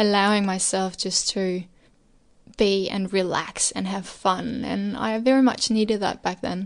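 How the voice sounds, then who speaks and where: In a Danish accent, a woman speaks at a fairly slow pace. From Denmark. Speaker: interview guest. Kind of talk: casual interview.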